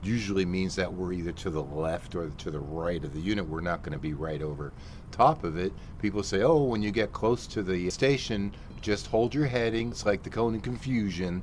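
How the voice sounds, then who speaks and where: This man talks at a moderate pace. His intonation is lively. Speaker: flight simulator instructor. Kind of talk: tutorial. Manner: animated.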